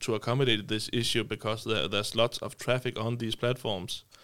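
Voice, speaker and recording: A man with medium pitch speaks in a monotone, flat intonation at a fairly quick pace, on a very clean recording with a silent background. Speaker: software startup co-founder. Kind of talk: casual interview. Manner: halting, many fillers.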